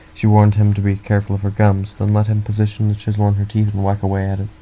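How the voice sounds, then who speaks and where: Somewhat breathy and dark, mellow in tone, a man speaks at a fairly low pitch and a very fast pace. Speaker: audiobook reader. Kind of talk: read story.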